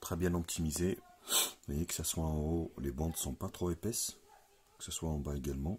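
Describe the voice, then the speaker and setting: A man speaks with a very deep, low pitch and ordinary pitch variation. His voice is somewhat breathy and keeps a moderate pace. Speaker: tech reviewer. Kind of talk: unboxing tutorial. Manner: casual.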